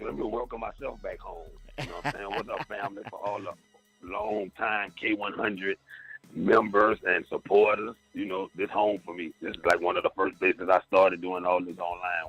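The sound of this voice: Over faint music in the background, a man with a low-pitched voice, a fairly bright tone and a slightly husky edge speaks at a moderate pace with fairly even intonation.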